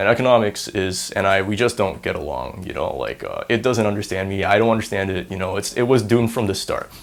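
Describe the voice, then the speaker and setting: Delivered at a very fast pace with hardly any pauses, the speech carries an American accent and ordinary pitch variation. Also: man, fairly low pitch for a man. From Singapore. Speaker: university student. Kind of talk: casual interview monologue. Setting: on camera. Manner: animated.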